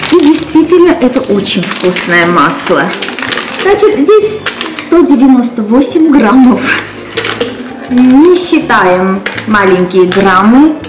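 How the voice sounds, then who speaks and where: A woman with a high pitch speaks at a very slow pace with long, frequent pauses amid noticeable background noise. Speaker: cooking show host. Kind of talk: tutorial. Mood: warm, animated. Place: kitchen. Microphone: camera far.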